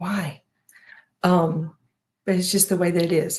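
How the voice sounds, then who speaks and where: Her voice somewhat breathy, a woman talks at a moderate speed. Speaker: home organization and planner creator. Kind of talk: live stream advice chat.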